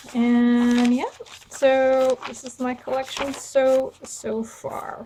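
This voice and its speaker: Noticeable background noise sits behind a woman with a high pitch. She speaks at a very slow pace with big swings in loudness. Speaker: craft tutorial creator. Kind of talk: tutorial. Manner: casual, with fillers and hesitations.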